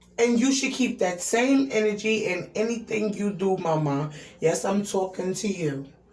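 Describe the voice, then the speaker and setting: Over noticeable background noise and audible room echo, a woman talks at a moderate pace and a medium pitch. Her tone is animated and her intonation is lively. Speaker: YouTube commentator. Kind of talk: rant.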